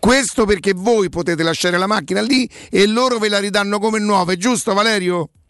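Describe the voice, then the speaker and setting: A man speaks at a fairly quick pace with a high pitch and very even loudness. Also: ordinary pitch variation. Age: 60s. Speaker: sports radio host. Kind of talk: casual chat; sales pitch. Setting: studio. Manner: animated.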